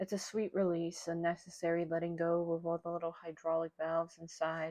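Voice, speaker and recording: In a dry, close sound with no echo, a woman with a fairly low pitch and a dark, mellow tone speaks at a moderate pace. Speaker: amateur audiobook reader. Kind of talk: read story. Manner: stutter.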